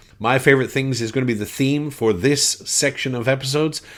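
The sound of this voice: This man speaks with a Canadian accent. His tone is fairly bright.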